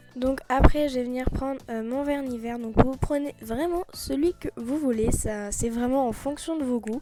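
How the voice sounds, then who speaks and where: Over music in the background, a woman with a high pitch and ordinary pitch variation speaks at a fairly slow pace with hardly any pauses. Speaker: nail art youtuber. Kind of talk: tutorial. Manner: hesitant, many fillers; loud.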